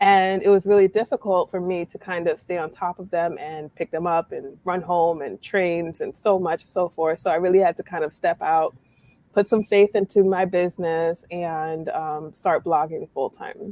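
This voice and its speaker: In a New York accent, a woman with a fairly low, dark, mellow voice speaks at a moderate pace with fairly even intonation, big swings in loudness and hardly any pauses, in a dry, close sound with no echo. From New York, Brooklyn. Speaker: blogger. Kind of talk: casual chat.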